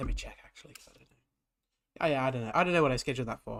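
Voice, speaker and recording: At a medium pitch, a man speaks with vocal fry and ordinary pitch variation. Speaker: gaming streamer. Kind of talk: live stream commentary.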